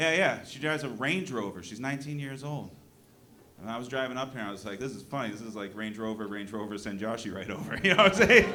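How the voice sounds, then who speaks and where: With an American accent, a medium-pitched man talks at a very fast pace with lively intonation and big swings in loudness, over noticeable background noise and audible room echo. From New Hampshire, US. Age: 40s. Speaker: comedian. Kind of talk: stand-up. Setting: stage with audience. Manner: animated.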